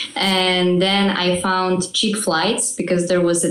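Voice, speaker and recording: A woman speaks at a fairly slow pace in a fairly low voice. Audible room echo and noticeable background noise fill the recording. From Poland. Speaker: ballroom dancer. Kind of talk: podcast interview.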